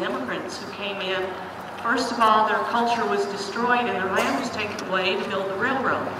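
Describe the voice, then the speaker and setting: There is noticeable background noise and audible room echo. A woman speaks at a moderate pace with a medium pitch. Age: 70s. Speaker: retired teacher and activist. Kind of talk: rally speech. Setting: outdoor rally.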